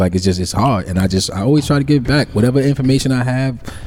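A man rattles off his words at a very fast pace, his pitch varying in an ordinary way, with noticeable background noise around him. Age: 40s. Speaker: podcast co-host. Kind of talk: casual chat.

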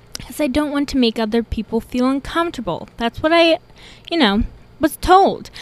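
Loud and high-pitched, a woman speaks with lively intonation. The sound is dry and close, with no echo. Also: moderate pace. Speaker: podcast host. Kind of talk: casual monologue.

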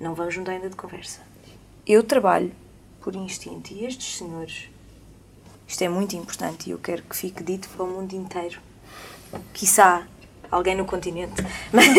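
This woman talks at a fairly quick pace with vocal fry and fairly even intonation. Her loudness swings widely, and she leaves long, frequent pauses. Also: medium pitch for a woman. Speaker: singer. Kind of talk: casual chat. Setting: studio.

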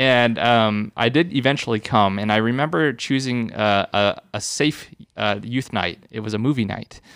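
Speaking at a moderate pace with hardly any pauses, a man with a medium pitch and ordinary pitch variation comes through on a very clean recording with a silent background. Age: 30s. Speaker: youth ministry director. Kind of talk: casual chat. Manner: halting.

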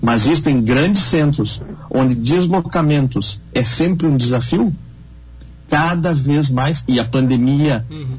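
A man at medium pitch speaks at a very slow pace with ordinary pitch variation. Audible echo fills the room. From Brazil, Rio Grande do Sul border region. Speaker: veterinarian and beef marketing consultant. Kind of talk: radio panel discussion.

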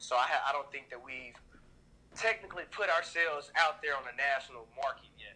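A fairly quick man with an American accent and a normal speaking voice, pitched fairly high for a man, with ordinary pitch variation and big swings in loudness. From US South, Nashville, Tennessee. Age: 20s. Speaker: clothing brand founder. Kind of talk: casual interview.

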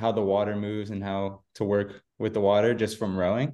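This man has an American accent and an ordinary speaking voice. His pitch is fairly low and his pace moderate. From Central Florida. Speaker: triathlete. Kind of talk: casual interview.

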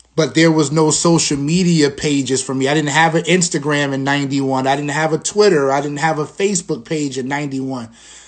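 Hardly pausing, a man with a New York accent talks at a fairly quick pace, his fairly high pitch held to fairly even intonation. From Long Island, New York. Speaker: podcast host and school dean. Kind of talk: solo livestream talk. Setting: Instagram live stream. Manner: conversational.

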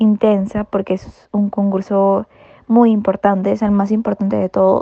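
Speaking at a very slow pace, a woman uses a medium pitch and monotone, flat intonation, her tone dark and mellow and the sound dry and close with no echo. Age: 20s. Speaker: marinera dancer. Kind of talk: interview. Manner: hesitant fillers.

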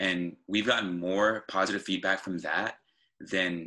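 Bright and sharp in tone, a man speaks with a very deep, low pitch. His intonation stays fairly even. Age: 20s. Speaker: podcast host, student. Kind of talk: casual interview.

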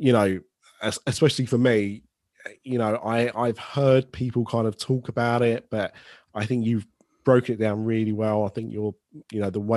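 A man with a British accent, medium pitch, monotone and flat intonation, a moderate pace, a quiet background and a dry, close sound with no echo. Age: 30s. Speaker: podcast host. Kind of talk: casual chat.

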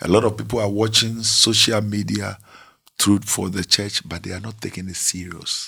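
Flat and monotone in intonation, a man speaks at a moderate pace in a fairly low pitch, his loudness swinging widely. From Ghana. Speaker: pastor. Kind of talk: interview.

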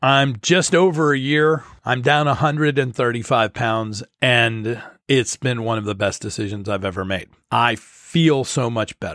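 An ordinary speaking voice from a man, medium in pitch with ordinary pitch variation, at a fairly slow pace. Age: 50s. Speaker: podcast host and broadcaster. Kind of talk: solo podcast monologue. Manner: conversational.

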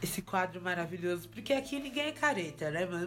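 Talking at a fairly quick pace with lively intonation, a woman uses a normal speaking voice. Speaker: podcast host. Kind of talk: casual chat.

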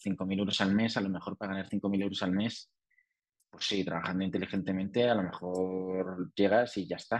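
A man with a Spanish accent speaks at a moderate pace in a dry, close sound with no echo. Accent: Peninsular Spanish. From Spain. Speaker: entrepreneur and author. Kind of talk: interview.

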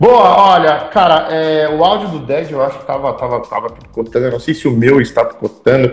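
With music in the background, the speaker keeps a moderate pace and lively intonation, hardly pausing at all. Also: man, fairly high pitch for a man. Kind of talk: casual live-stream interview. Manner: animated.

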